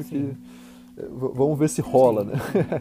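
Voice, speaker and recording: This man speaks at a medium pitch. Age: 20s. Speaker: filmmaker and film teacher. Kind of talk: casual interview. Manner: halting, repeats words.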